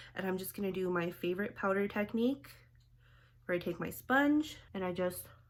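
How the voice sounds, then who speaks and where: Noticeable background noise sits under the recording. A woman goes at a fairly quick pace, her pitch varying in an ordinary way. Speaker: beauty vlogger. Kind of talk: makeup tutorial. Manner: casual, chatty.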